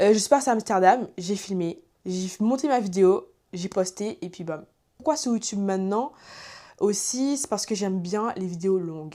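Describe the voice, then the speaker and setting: A woman speaks at a moderate pace with a dark, mellow tone and ordinary pitch variation, recorded very cleanly against a silent background. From Guadeloupe (French Antilles). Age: 20s. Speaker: YouTuber. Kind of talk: casual chat. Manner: hesitant, many fillers.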